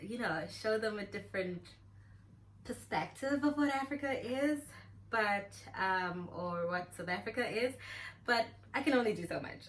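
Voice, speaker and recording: Her voice sits fairly high and somewhat breathy. The woman leaves long, frequent pauses. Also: lively intonation, moderate pace. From South Africa. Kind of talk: casual talk to camera.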